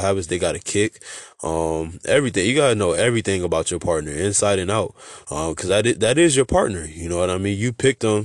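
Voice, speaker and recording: A man's voice sits fairly low in pitch. He talks at a fairly quick pace over a quiet background. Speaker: podcast host. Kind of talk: casual monologue. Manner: mumbling; halting.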